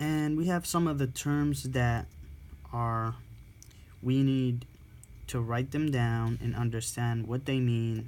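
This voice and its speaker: A man's medium-pitched voice at a very slow pace, with fairly even intonation, very even loudness, and long, frequent pauses. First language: not English. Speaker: respiratory therapy student tutor. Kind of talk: reading aloud and explaining a textbook. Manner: halting, with self-corrections.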